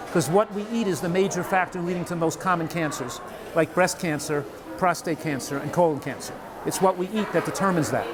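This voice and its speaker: Talking very fast over noticeable background noise, a man with a high pitch shows ordinary pitch variation. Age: 70s. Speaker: physician and nutrition author. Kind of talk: interview.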